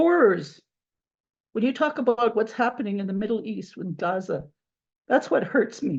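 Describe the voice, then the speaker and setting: Somewhat breathy, a woman talks at a moderate pace with long, frequent pauses. Her fairly high pitch shows very wide swings. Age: 70s. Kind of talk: testimony. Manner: halting, repeats words.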